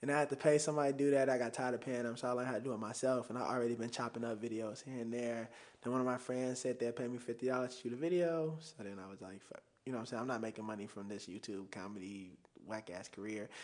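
With noticeable background noise behind him, a man with an American accent talks at a very fast pace, at a medium pitch with ordinary variation. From Chicago, South Side. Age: 20s. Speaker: video producer. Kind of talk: casual chat.

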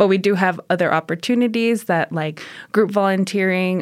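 On a very clean recording with a silent background, a woman with a fairly low pitch talks at a moderate pace in an unremarkable speaking voice. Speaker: nonprofit volunteer coordinator. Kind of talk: casual interview chat.

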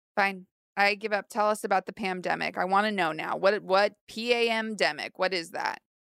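On a very clean recording with a silent background and a dry, close sound with no echo, a woman with an ordinary speaking voice speaks at a moderate pace, medium pitch and fairly even intonation. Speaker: co-host. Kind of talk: comedy banter, playing the straight woman. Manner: dry, sarcastic.

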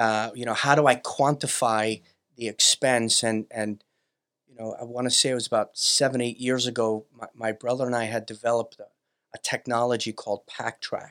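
The sound is dry and close, with no echo. A man at medium pitch speaks at a moderate pace in a monotone, flat way. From Brooklyn, New York. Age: 50s. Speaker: business owner, company CEO. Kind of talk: casual interview chat.

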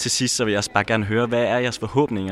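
A man talks in a normal speaking voice. His medium pitch stays in fairly even intonation. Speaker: podcast host. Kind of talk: casual chat, on-location reporting.

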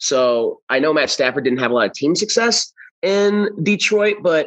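In an American accent, a man talks at a moderate pace with lively intonation in a normal speaking voice. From US Midwest, St. Louis. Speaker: sports betting analyst. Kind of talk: casual interview.

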